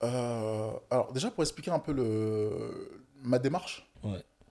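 A man's dark, mellow voice at medium pitch, with ordinary pitch variation, in a very clean recording over a silent background. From West Africa (Togo/Benin). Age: 20s. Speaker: painter. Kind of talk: casual chat.

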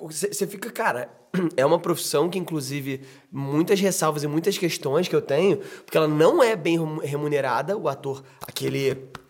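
A man speaks in a fairly high voice. Noticeable background noise runs underneath. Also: ordinary pitch variation, moderate pace. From Brazil, Rio de Janeiro. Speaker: podcast host and actor. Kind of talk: casual chat.

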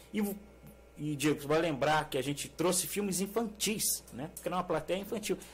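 A man talks at a fairly quick pace. His fairly high voice has lively intonation. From Brazil, São Paulo state (Mogi das Cruzes). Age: 50s. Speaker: teacher and filmmaker. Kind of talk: interview conversation.

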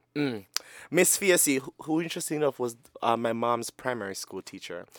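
Speaking with a Jamaican accent at a moderate pace, a man sounds animated, his intonation lively, in a very clean recording with a silent background and a dry, close sound with no echo. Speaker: podcast co-host. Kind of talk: casual chat, comedic banter. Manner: animated, joking, laughs often.

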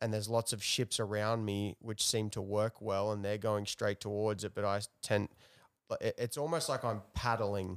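A man with an ordinary speaking voice at a moderate pace and fairly even intonation, in a very clean recording with a silent background and a dry, close sound with no echo. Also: fairly low pitch for a man. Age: 30s. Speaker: host's partner. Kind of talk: casual chat. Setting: home living room.

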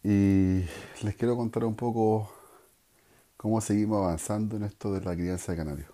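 With a dark, mellow tone and fairly low pitch, a man speaks at a moderate pace in fairly even intonation, leaving long, frequent pauses. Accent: Chilean. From Chile, Santiago area. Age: 40s. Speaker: bird breeder podcaster. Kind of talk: casual monologue.

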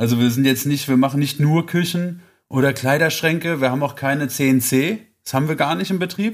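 With fairly high pitch, ordinary pitch variation and a moderate pace, this man has an ordinary speaking voice, captured in a very clean recording with a silent background. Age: 30s. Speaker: carpentry apprentice and guest co-host. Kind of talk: casual chat.

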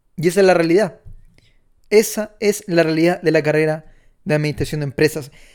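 The speech moves at a fairly quick pace. Long, frequent pauses break it up. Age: 20s. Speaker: podcast host, entrepreneur. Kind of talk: opinion monologue.

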